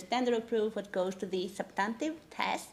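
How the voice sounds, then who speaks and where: At a fairly quick pace, a woman with a non-native accent speaks in a fairly high pitch with ordinary pitch variation. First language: not English. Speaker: legal academic. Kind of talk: conference talk. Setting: conference panel. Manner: frequent fillers (um, uh).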